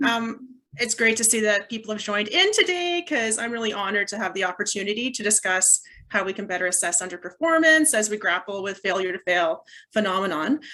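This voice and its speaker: A woman with a Canadian accent talks at a fairly quick pace. Her voice is fairly high, with a bright, sharp tone. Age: middle-aged. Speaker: professor. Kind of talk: conference talk. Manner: fast.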